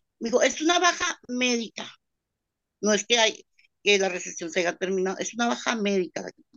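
A woman's fairly high voice with very wide pitch swings and long, frequent pauses. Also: moderate pace. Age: 50s. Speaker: restaurant worker seeking legal advice. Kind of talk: consultation call. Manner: halting.

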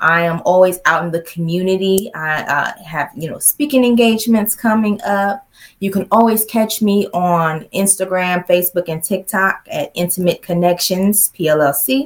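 A woman speaks in a plain, everyday voice at a medium pitch and a moderate pace. She has ordinary pitch variation and hardly any pauses. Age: 40s. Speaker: sex therapist. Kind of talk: interview.

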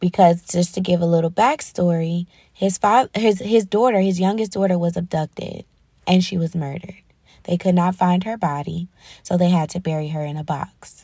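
Her tone dark and mellow, a woman speaks somewhat breathily at a fairly low pitch and a moderate pace, with ordinary pitch variation. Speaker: faith podcast host. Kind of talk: solo faith talk. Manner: hesitant, many ums.

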